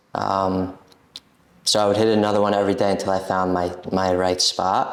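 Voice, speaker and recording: Against noticeable background noise, a man with an American accent speaks in a very deep, low pitch with monotone, flat intonation. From US Northeast, Brooklyn, New York. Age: 20s. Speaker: coffeehouse owner. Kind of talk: casual chat.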